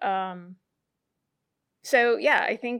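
Ordinary pitch variation from a woman on a very clean recording with a silent background. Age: 40s. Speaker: hair salon owner. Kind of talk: interview. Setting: in her salon.

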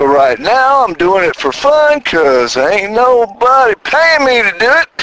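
A man with an American accent speaks in a raised, projected voice at a high pitch with very wide pitch swings. The sound is dry and close with no echo, though noticeable background noise is present. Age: 60s. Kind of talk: casual monologue. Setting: in a car.

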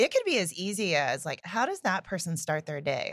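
A woman with an American accent and a plain, everyday voice speaks at a fairly low pitch with lively intonation, recorded very cleanly against a silent background in a dry, close sound with no echo. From Indiana, US Midwest. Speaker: entrepreneur, company co-founder. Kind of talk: casual chat.

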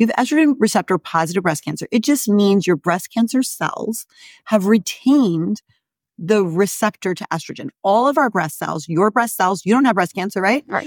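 Dry and close with no echo, in a very clean recording with a silent background, a woman speaks with a normal speaking voice at medium pitch and a moderate pace. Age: 50s. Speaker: gynecologist and menopause doctor. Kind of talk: interview.

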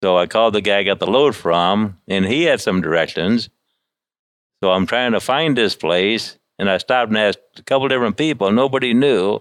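A man talks in a Midwestern American accent at a fairly low pitch. His pitch variation is ordinary and his loudness very even. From US Midwest. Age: 60s. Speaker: truck driver. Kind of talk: interview, storytelling. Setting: in a shop. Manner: halting.

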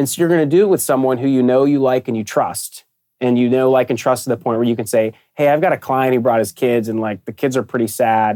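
Delivered at a very fast pace in an American accent, the voice has a dark, mellow tone and ordinary pitch variation. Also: man, medium pitch for a man. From Pittsburgh, US. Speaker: sports partnership sales director. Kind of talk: interview.

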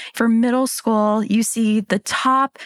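This woman has an ordinary speaking voice, a fairly high pitch and fairly even intonation, with an American accent. The sound is dry and close with no echo, on a very clean recording with a silent background. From Pennsylvania, small town. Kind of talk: interview.

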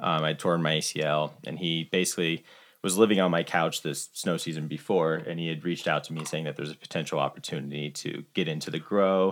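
A man with an American accent talks very fast with hardly any pauses, his very deep, low voice monotone and flat. The recording is very clean, with a silent background. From US Midwest, Iowa. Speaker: cannabis grower and business partner. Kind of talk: casual chat.

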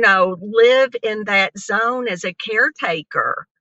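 At a fairly slow pace, a woman with an ordinary speaking voice talks at a medium pitch with ordinary pitch variation. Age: 60s. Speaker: cannabis dispensary co-owner. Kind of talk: personal testimony in interview.

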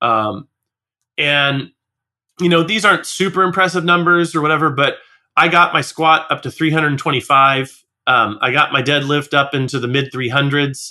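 A man with an unremarkable speaking voice talks at a fairly slow pace, fairly high in pitch with ordinary pitch variation. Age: 40s. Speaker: music school business podcast co-host. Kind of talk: casual chat.

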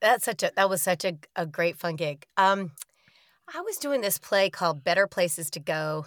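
With an American accent, a woman speaks at a moderate pace in an ordinary speaking voice, her medium pitch showing ordinary variation in a dry, close sound with no echo. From Sanford, North Carolina. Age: 40s. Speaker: actress and comedian. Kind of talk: casual chat. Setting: video call.

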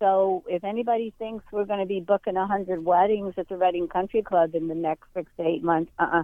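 A woman talks at a fairly quick pace and medium pitch. Her intonation stays fairly even. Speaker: caller, local resident. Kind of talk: call-in comment. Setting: phone call. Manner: loud.

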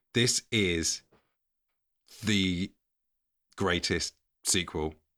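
In a very clean recording with a silent background, a man with an English accent speaks at a very deep, low pitch in a bright, sharp tone. He moves very slowly, with ordinary pitch variation and long, frequent pauses. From England. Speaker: podcast co-host, guest. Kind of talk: casual chat. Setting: home cupboard, standing.

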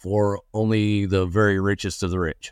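A man's fairly low-pitched voice with a Texan accent, fairly even intonation, and a very slow pace, in a dry, close sound with no echo and a very clean recording against a silent background. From West Texas. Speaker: land investor. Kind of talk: interview.

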